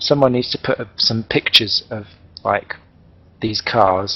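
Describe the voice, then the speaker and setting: A man talks at a medium pitch with an East Anglian accent. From East Anglia, England. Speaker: sim racing commentator. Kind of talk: live commentary. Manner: animated.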